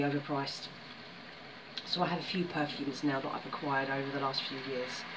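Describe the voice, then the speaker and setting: Over noticeable background noise, a woman speaks with a very deep, low pitch. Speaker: vlogger. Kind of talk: casual vlog chat. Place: home room. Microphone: phone near.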